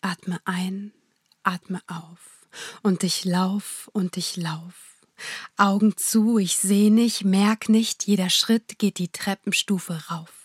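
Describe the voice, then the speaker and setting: A woman delivers her lines in an intense, dramatic tone at a very slow pace, her medium-pitched, somewhat breathy voice held to a monotone, flat intonation in a dry, close sound with no echo on a very clean recording with a silent background. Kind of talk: poetry slam performance, spoken-word verse with rhymes, heartfelt and prayerful. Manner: intense, rhythmic, emotional delivery with dramatic pauses.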